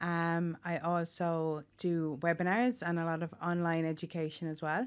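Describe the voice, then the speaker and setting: Here a woman speaks with an Irish accent, her voice fairly low in pitch. Her pace is moderate and her intonation fairly even on a very clean recording with a silent background. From Ireland, Tipperary. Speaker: occupational therapist. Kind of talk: interview. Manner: hesitant, many fillers.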